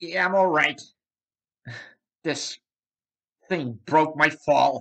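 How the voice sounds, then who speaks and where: Someone in a cartoonish character voice speaks at a middle pitch and a very slow pace. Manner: hesitant, polite.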